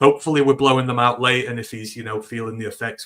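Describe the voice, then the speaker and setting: A man with a British accent speaks in a bright, sharp tone with monotone, flat intonation. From United Kingdom. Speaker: guest podcaster, sports fan. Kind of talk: casual sports talk chat. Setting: live streamed podcast.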